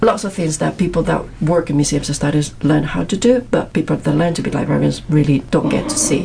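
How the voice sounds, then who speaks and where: With noticeable background noise present, a woman keeps a fairly quick pace and leaves hardly any pauses. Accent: Spanish. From Madrid, Spain. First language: Spanish. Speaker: PhD student. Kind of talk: casual interview chat.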